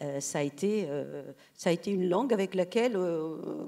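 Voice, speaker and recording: A dark, mellow tone carries the speech at a moderate pace. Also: woman. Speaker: writer. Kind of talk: panel discussion. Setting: stage with audience. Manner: halting.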